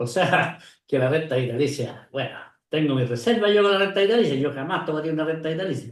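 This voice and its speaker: Audible room echo surrounds a man with a fairly high pitch. He speaks at a very fast pace with lively intonation. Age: 70s. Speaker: retired pension industry expert. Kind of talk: interview conversation.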